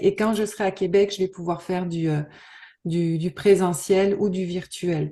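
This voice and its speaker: Over a quiet background, the voice has a dark, mellow tone and monotone, flat intonation at a fairly slow pace. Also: woman. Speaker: NLP practitioner, trade show exhibitor. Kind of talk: interview. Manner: soft-spoken, calm; halting with many fillers.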